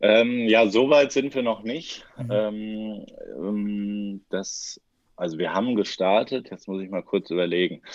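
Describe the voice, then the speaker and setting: A man speaks very slowly in a fairly low voice with ordinary pitch variation against a quiet background. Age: 30s. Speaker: futsal coach. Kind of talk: podcast interview. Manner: halting, many fillers.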